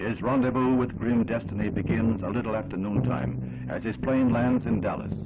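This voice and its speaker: With a solemn, dramatic tone, a man speaks at a moderate pace and a fairly low pitch. Noticeable background noise runs behind him. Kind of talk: 1960s newsreel narration. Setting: vintage newsreel recording. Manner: solemn, dramatic, grave.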